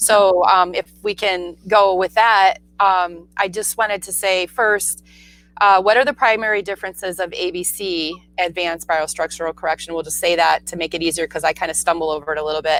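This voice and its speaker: A plain, everyday voice from a woman, fairly low-pitched, fairly quick, with fairly even intonation and a dry, close sound with no echo. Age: 40s. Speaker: naturopathic doctor and show host. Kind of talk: casual interview chat.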